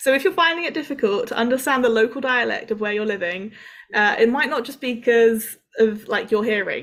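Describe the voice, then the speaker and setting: Speaking with a southern English accent, a woman uses a high pitch, ordinary pitch variation and a fairly quick pace. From southern England, Cambridge. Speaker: international student support worker. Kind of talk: workshop talk. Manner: hesitant, many fillers.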